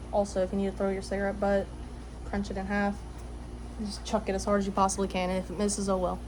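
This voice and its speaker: A woman at a very fast pace, with long, frequent pauses and audible room echo. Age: 20s. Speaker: vlogger. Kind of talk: casual monologue. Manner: halting, many fillers.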